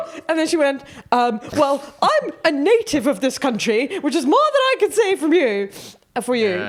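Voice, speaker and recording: A woman's high voice with very wide pitch swings and very even loudness, over noticeable background noise. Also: moderate pace. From Netherlands. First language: Dutch. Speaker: comedian. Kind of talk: casual chat. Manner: animated.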